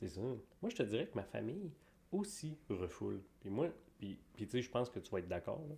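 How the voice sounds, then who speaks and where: Dark, mellow tone with vocal fry, very wide pitch swings and a moderate pace. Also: man, medium pitch for a man. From Quebec. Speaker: podcast co-host. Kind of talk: casual chat.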